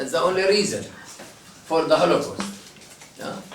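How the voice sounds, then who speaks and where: Speaking with an Arabic accent, a man with a high pitch and fairly even intonation is heard over noticeable background noise and audible room echo. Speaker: priest. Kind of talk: talk to a visiting group. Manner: impassioned.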